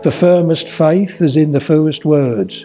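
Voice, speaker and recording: A man with a Suffolk accent at a very slow pace, music in the background. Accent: south west Suffolk. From Suffolk, England. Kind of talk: poetry reading.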